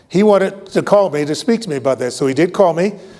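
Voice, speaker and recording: Noticeable background noise sits under a man speaking with an American accent. He talks at a fairly quick pace with ordinary pitch variation. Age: 70s. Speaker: retired Air Force general. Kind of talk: award acceptance speech with anecdote. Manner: halting with many fillers.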